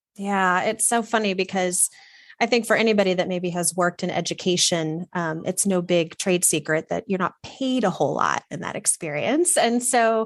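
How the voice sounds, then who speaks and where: The speaker has an American accent and ordinary pitch variation against a quiet background. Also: woman, medium pitch for a woman. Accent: slight Southern drawl at times, mostly none. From Texas. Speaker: wardrobe stylist. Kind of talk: interview conversation. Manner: animated.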